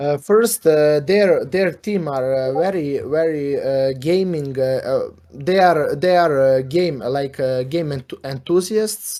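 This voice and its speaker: A man with a non-native accent talks at a very slow pace with hardly any pauses. His pitch is fairly high, with ordinary variation. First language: not English. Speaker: gaming guild representative. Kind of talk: casual interview. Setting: Discord voice chat. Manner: halting, many fillers.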